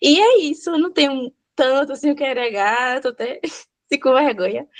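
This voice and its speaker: A woman at a fairly slow pace with ordinary pitch variation, in a dry, close sound with no echo and a quiet background. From Vitória da Conquista, Bahia, Brazil. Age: 20s. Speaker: sign language interpreter and student. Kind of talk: self-introduction in online class. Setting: video call. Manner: natural, informal.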